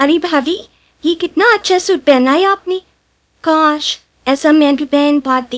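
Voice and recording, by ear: This is a cartoonish character voice that sounds female. She pitches it high and speaks fairly slowly.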